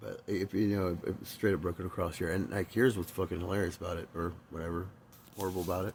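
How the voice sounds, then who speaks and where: A man with a very deep, low voice talks at a very fast pace. He sounds somewhat breathy, with fairly even intonation. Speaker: recovering alcoholic vlogger. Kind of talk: personal testimony. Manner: halting.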